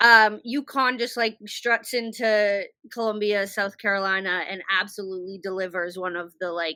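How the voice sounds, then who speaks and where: The recording is very clean, with a silent background. A woman with an American accent speaks at a medium pitch in a bright, sharp tone, her intonation fairly even. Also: moderate pace. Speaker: podcast host. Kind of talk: casual chat. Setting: video podcast on laptop. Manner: halting.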